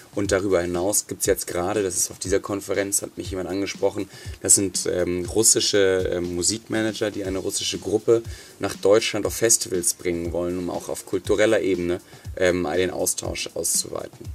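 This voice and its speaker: Monotone, flat male speech, fairly low in pitch and moderate in pace. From northern Germany. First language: German (speaking Russian). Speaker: conference co-founder. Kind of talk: interview via interpreter. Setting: studio.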